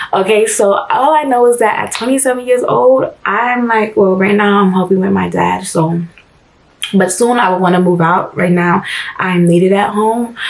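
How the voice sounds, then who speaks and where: A woman talks at a moderate pace with medium pitch and ordinary pitch variation. Noticeable background noise runs under her voice. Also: very even loudness. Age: 20s. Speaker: vlogger and social media manager. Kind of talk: personal vlog, candid talk to camera. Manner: halting, with false starts.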